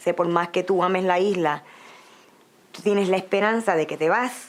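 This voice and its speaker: A woman speaks in a Puerto Rican accent at a moderate pace, her pitch medium. Her intonation stays fairly even while her loudness swings widely. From Puerto Rico. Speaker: migrant interviewee. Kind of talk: interview testimony.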